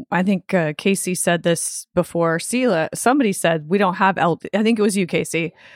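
Woman with a plain, everyday voice, ordinary pitch variation and a moderate pace, in a dry, close sound with no echo. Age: 50s. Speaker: podcast co-host. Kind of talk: casual chat.

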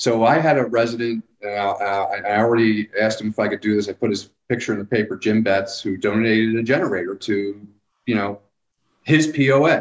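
A man's ordinary speaking voice, medium in pitch, at a moderate pace with ordinary pitch variation. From Philadelphia / New Jersey area. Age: 50s. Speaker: local government public works director. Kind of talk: casual interview.

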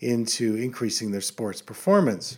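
A man with an American accent, a normal speaking voice, medium pitch and a fairly slow pace. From central Pennsylvania. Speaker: optometrist and podcast host. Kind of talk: solo podcast monologue. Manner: casual, conversational with fillers.

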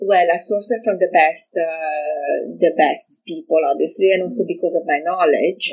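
In an Italian accent, the speaker talks at a moderate pace with hardly any pauses and ordinary pitch variation. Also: woman, fairly low pitch for a woman. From Italy, Milan. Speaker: fashion designer. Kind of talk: interview. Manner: halting.

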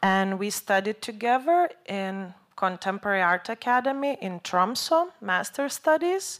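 Recorded very cleanly against a silent background, a woman speaks at a very slow pace with lively intonation and a medium pitch. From Lithuania. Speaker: artist. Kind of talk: lecture.

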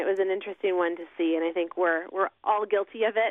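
A woman with a normal speaking voice talks at a fairly quick pace, her pitch fairly low with ordinary variation. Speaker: company spokesperson. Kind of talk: radio interview. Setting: phone call.

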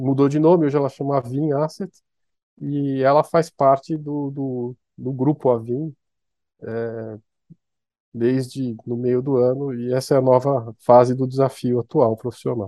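Fairly slow delivery with fairly even intonation. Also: man, medium pitch for a man. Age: 50s. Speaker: economist and fund manager. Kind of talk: interview. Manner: halting, with many repetitions.

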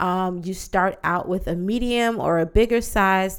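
Her tone is animated as a woman speaks at a medium pitch and fairly slow pace. The recording is very clean, the background silent. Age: 30s. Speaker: podcast host and yoga teacher. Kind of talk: casual solo podcast monologue.

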